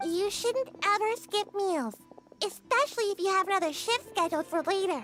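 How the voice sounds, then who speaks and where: Clear music plays in the background. An extremely high-pitched, put-on character voice speaks over it. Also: moderate pace. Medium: video game. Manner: cheerful, chatty.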